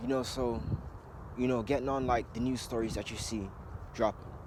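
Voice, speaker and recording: Medium pitch from a man, with ordinary variation in pitch. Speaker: conspiracy video blogger. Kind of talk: casual monologue vlog. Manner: fast.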